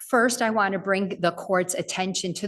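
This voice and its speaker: Against noticeable background noise, a woman speaks at a medium pitch in a monotone, flat intonation. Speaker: appellate defense attorney. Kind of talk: oral argument in court. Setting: courtroom. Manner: formal.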